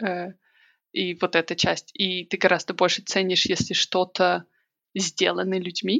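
At a fairly slow pace with long, frequent pauses, a woman of medium pitch talks in a monotone, flat voice with vocal fry. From Belarus, Minsk. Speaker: emigrant sharing experience. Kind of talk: casual interview chat.

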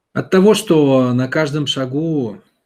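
Lively intonation marks this man's speech. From Russia, St Petersburg. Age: 30s. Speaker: self-development mentor answering listener questions. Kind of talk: monologue answering a listener's question. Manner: conversational, addressing listener directly.

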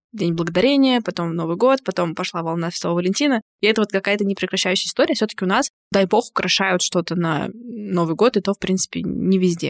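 A woman with an ordinary speaking voice, medium pitch, a fairly quick pace and lively intonation. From Bashkortostan, Russia. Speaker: podcast host and practising therapist. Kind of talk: casual chat.

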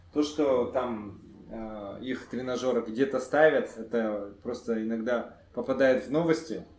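In a room with audible echo, a man at medium pitch talks very slowly, his intonation fairly even. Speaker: entrepreneur. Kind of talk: podcast interview.

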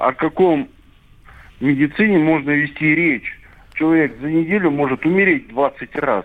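Pausing long and often, a man with a fairly high pitch speaks with ordinary pitch variation. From Mari El, Russia. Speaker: radio caller. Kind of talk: phone-in caller. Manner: hesitant, many fillers.

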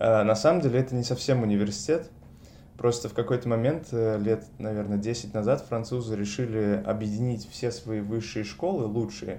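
A man in an ordinary speaking voice, medium in pitch, at a moderate pace with lively intonation. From Russia, Saint Petersburg. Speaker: master's student in neuroscience. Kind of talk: interview.

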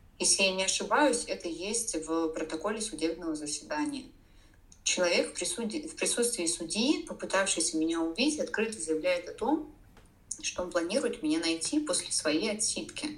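A woman speaks at a moderate pace with a fairly high pitch and very wide pitch swings, and audible room echo surrounds her voice. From Russia, Saint Petersburg. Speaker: domestic violence survivor and blogger. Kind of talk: interview testimony.

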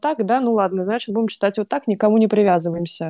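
A woman's fairly high, dark and mellow voice with ordinary pitch variation, dry and close with no echo, on a very clean recording with a silent background. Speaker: book club moderator. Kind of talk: casual chat.

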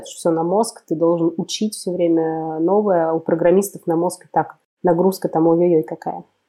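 A woman's fairly low, monotone, flat voice at a moderate pace. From Russia, Kemerovo region (Siberia). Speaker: community producer. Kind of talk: casual chat.

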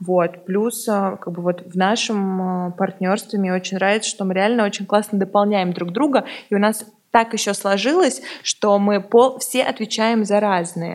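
A woman uses an ordinary speaking voice at medium pitch, moving at a fairly slow pace. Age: 20s. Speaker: co-founder of a resale platform. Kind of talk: interview.

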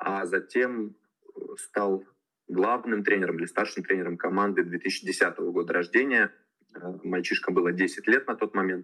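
A man speaks at a fairly slow pace. His pauses are long and frequent. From Russia, Tula region. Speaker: youth football coach. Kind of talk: casual interview.

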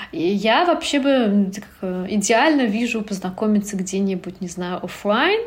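A woman with a medium-pitched voice speaks with lively intonation. The room echo is audible and background noise is noticeable. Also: fairly slow pace, hardly any pauses. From Turkmenistan. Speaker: blogger. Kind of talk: casual chat.

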